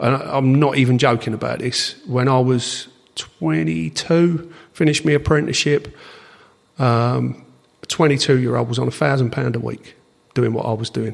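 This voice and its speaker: Speaking at a moderate pace, a man has a medium pitch. His pitch variation is ordinary. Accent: Essex. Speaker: drag racing timer, aircooled VW enthusiast. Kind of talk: podcast interview answer.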